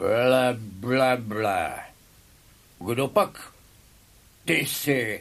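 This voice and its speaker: Pitched in the medium range, a man performs a put-on character voice. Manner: silly, dim-witted.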